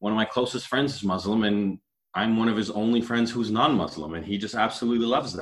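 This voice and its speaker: A man with a Canadian accent, medium pitch, fairly even intonation and a very fast pace. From Canada. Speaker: panelist. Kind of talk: casual group discussion. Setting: video call.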